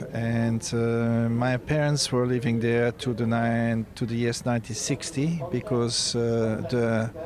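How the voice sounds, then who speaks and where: A man with a French accent speaks at a very slow pace and a medium pitch, with hardly any pauses, monotone, flat intonation, very even loudness and noticeable background noise. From Belgium. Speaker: dressage coach. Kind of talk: interview. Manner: halting.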